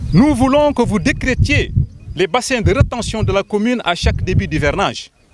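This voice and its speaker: A man's pitch swings very widely as he talks at a moderate pace, with noticeable background noise behind him. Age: 60s. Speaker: community spokesman. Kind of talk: public statement. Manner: formal; emphatic.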